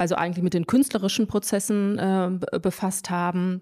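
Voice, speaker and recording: A woman's dark, mellow, medium-pitched voice at a moderate pace with fairly even intonation, in a very clean recording with a silent background. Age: young. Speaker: visual artist. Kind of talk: interview.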